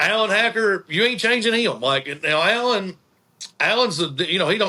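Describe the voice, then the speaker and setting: A man at a moderate pace with an Appalachian accent. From Eastern Kentucky, Appalachia. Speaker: tourism director and band manager. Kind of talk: casual interview chat.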